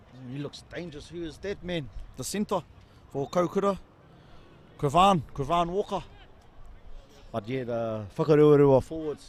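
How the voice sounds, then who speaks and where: Excited in tone, a man with a New Zealand accent and fairly high pitch talks at a moderate pace with lively intonation and long, frequent pauses. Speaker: rugby commentator. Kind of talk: live commentary.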